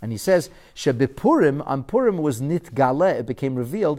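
A man with an American accent talks at a moderate pace with lively intonation on a very clean recording with a silent background. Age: 40s. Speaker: rabbi teaching a Torah class. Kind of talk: lecture.

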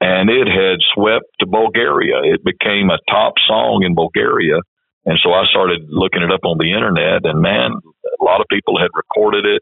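A man speaks with an American accent at a moderate pace. His loudness stays very even. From West Texas. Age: 60s. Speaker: church denomination leader. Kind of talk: interview.

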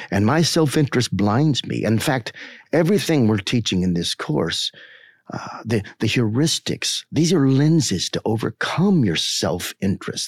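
Over a silent background in a very clean recording, a man of medium pitch talks at a moderate pace with very wide pitch swings. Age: 50s. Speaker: marketing researcher and teacher. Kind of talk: podcast discussion. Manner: earnest, reflective.

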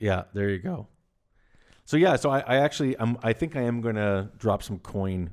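A man speaks at a moderate pace in an unremarkable speaking voice with ordinary pitch variation. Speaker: barter company executive. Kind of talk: casual chat.

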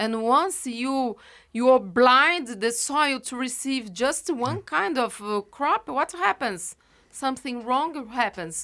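Over a silent background in a very clean recording, a woman with a Brazilian Portuguese accent speaks at a very slow pace with a high pitch, a bright, sharp tone and lively intonation. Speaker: professor and geographer. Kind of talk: interview. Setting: studio. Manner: halting, with frequent fillers.

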